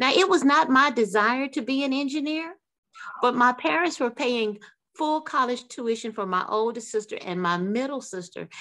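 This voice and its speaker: Swinging very widely in pitch, a woman with an American accent speaks in a high voice. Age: 60s. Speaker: author and aerospace engineer. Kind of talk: radio interview.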